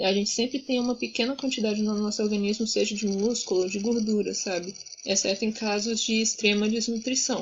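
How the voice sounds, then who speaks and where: At a fairly quick pace, a woman with a fairly high pitch speaks in a flat monotone with hardly any pauses. Her voice is somewhat breathy and her loudness very even. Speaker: student tutor. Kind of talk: tutoring session.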